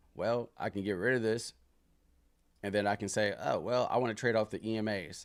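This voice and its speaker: A man with a plain, everyday voice speaks at a fairly quick pace in a fairly low pitch. His intonation is fairly even, and the recording is very clean with a silent background. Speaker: stock trader streaming live trading sessions. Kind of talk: live trading tutorial. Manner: casual, filler-heavy.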